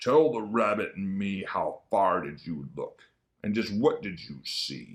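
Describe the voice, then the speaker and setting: A man growls in a put-on character voice. It sits fairly low in pitch and moves at a fairly slow pace. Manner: growling.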